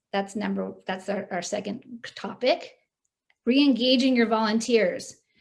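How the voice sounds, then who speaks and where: A woman with a fairly high pitch and vocal fry speaks at a fairly slow pace, with ordinary pitch variation. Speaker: fundraising consultant and guest speaker. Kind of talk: presentation to club meeting. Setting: video call.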